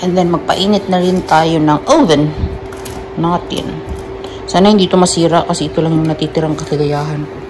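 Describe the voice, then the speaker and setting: Over noticeable background noise, a woman speaks fairly quickly in a fairly low voice with ordinary pitch variation. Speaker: nurse vlogger. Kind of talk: casual vlog.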